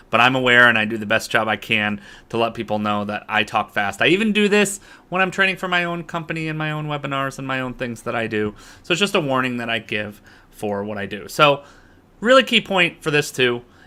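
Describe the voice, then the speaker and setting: Loud and bright with a sharp edge, a man speaks in an American accent at a medium pitch. His pitch swings very widely. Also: fairly quick pace. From US, Boston, Massachusetts. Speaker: business coach and online instructor. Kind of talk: online lecture. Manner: fast.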